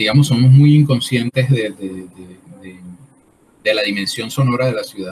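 Ordinary pitch variation over light background noise. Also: man. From Colombian Caribbean coast (Barranquilla). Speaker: artist and workshop leader. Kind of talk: interview. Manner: halting, many fillers. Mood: calm, thoughtful. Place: home room.

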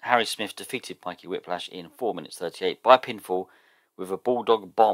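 A man with a southern English accent talks at a fairly quick pace and fairly low pitch, with ordinary pitch variation and big swings in loudness. The sound is dry and close with no echo, on a very clean recording with a silent background. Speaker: gaming youtuber. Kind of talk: gameplay commentary. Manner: casual, hesitant.

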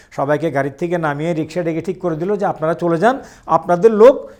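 This man speaks in a high pitch with lively intonation. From Bangladesh, Chittagong. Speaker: war veteran. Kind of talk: testimony. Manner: halting.

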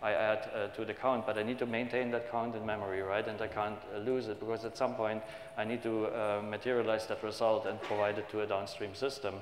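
A man with a fairly low voice talks at a fairly quick pace with hardly any pauses and monotone, flat intonation. Audible room echo and light background noise come through. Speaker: conference presenter. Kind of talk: technical conference talk. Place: hall.

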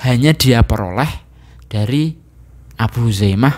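Lively intonation from a man with a medium pitch, at a fairly slow pace. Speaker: Islamic religious teacher. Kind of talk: religious lecture. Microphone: handheld.

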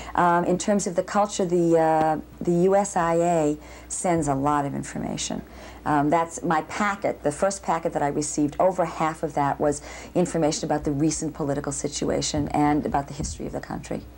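The speech moves at a fairly quick pace. Light background noise sits underneath it. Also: woman, very deep, low pitch for a woman, fairly even intonation. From Boston. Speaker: ballet dancer and dance professor. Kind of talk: interview. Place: home room.

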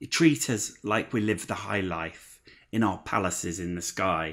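The tone is angry, bright and sharp, with an East Midlands accent. The pace is fairly slow over a quiet background. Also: man. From Leicester, England. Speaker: spoken word poet. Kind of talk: performed spoken word poem, rhythmic rhyming delivery. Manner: impassioned, angry, driving cadence; emphatic, sardonic, rhyme-driven. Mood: angry, sombre social protest.

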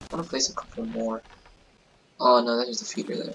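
A quiet man at medium pitch and a fairly quick pace, with music in the background. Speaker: gaming youtuber. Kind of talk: let's play commentary. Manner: casual, animated.

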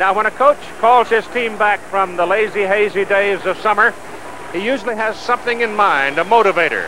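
A man speaks in a raised, projected voice at a fairly quick pace, with ordinary pitch variation. The sound is dry with no echo, and background noise is noticeable. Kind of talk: pregame commentary. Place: stadium. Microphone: handheld.

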